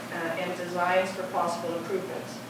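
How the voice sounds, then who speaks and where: A woman speaks at a moderate pace amid noticeable background noise. Strong echo fills the room. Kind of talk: presentation to board. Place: meeting room. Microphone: camera far.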